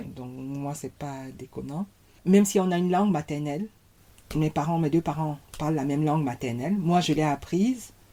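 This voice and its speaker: A woman talks at a moderate pace. Her pitch is very deep and low, with a dark, mellow tone. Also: ordinary pitch variation. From Cameroon. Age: 40s. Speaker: podcast guest, mother of six. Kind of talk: casual interview conversation. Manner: gentle, soft-spoken.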